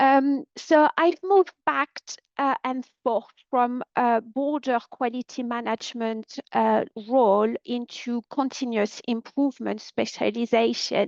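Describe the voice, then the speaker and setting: The speech comes at a fairly slow pace with ordinary pitch variation, and the sound is dry and close with no echo. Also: woman, high pitch for a woman. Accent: French. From France. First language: French. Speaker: quality consultant. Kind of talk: webinar presentation. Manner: hesitant, many fillers.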